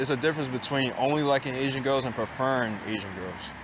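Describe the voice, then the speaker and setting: Noticeable background noise accompanies a man speaking at a fairly quick pace in a medium pitch. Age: 20s. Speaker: vlogger. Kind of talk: casual monologue vlog.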